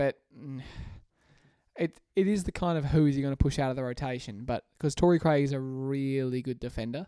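A man with an Australian accent, fairly high in pitch, dark and mellow in tone, at a moderate pace with ordinary pitch variation, in a dry, close sound with no echo. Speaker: basketball podcast co-host. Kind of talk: casual chat.

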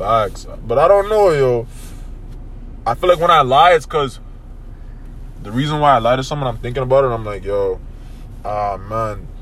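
An animated man with a fairly high pitch and lively intonation, at a moderate pace with long, frequent pauses, amid noticeable background noise and audible room echo. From Toronto, Canada. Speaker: podcast host. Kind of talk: casual chat.

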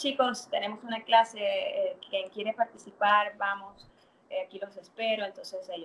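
Speaking in a plain, everyday voice, a woman keeps a moderate pace. Her intonation is fairly even. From Venezuela. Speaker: fitness dance instructor. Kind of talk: interview.

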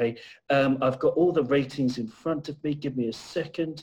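This man's voice is fairly high in pitch with a slightly mellow tone.

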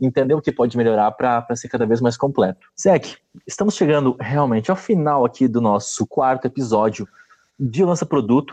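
A man's medium-pitched, ordinary speaking voice, ordinary pitch variation, moderate pace. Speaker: podcast host. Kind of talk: interview.

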